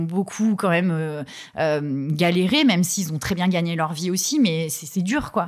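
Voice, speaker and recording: A woman speaks at a fairly slow pace and medium pitch, with ordinary pitch variation. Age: 30s. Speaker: hairdresser sharing her personal money story. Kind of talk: personal testimony in interview. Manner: halting, many hesitations and repetitions.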